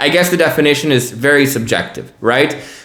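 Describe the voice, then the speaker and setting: A man with an American accent speaks at a moderate pace, his fairly high voice showing ordinary pitch variation. Audible room echo and noticeable background noise are present. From United States. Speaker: news podcast host. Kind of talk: news commentary podcast. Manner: casual, conversational.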